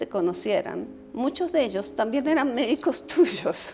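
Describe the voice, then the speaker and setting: Her voice swings very widely in pitch as this woman speaks. Noticeable background noise is present. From Colombia. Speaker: political scientist and former vice foreign minister. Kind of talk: casual conversation.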